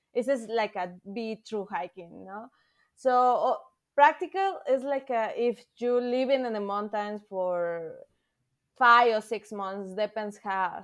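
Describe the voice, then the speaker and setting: A woman's fairly high voice with a Spanish accent, fairly slow, with long, frequent pauses, big swings in loudness, ordinary pitch variation and a quiet background. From Mexico City, Mexico. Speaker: thru-hiker. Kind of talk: podcast interview. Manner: halting, hesitant non-native English.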